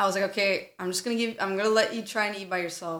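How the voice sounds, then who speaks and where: A woman with a plain, everyday voice at medium pitch and fairly even intonation. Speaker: podcast co-host. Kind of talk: casual chat.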